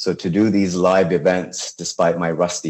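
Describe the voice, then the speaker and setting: A man with a Persian accent talks at a moderate pace. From Iran, Tehran. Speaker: chef and food blogger. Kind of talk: interview.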